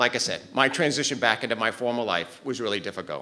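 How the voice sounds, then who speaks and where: A man talks at a very fast pace with a Maine accent. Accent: Maine, New England. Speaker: cardiovascular tech and respiratory therapist. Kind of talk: personal storytelling to live audience.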